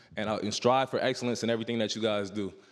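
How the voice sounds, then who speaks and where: A man is speaking. He has an American accent. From New York City, Harlem. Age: 20s. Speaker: football player. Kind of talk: motivational speech to youth audience. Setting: stage with audience. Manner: casual, filler-heavy.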